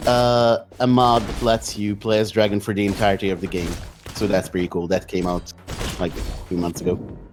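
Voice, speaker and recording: Speaking at a fairly quick pace, a man with a non-native accent keeps a fairly low pitch and fairly even intonation. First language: not English. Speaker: speedrun commentator. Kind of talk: live commentary. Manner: halting, many fillers.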